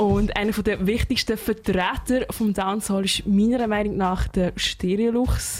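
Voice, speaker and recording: A woman speaks with a Swiss accent at a medium pitch and a fairly slow pace. Her loudness stays very even, with hardly any pauses. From Switzerland. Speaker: radio host. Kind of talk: radio music show. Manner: animated.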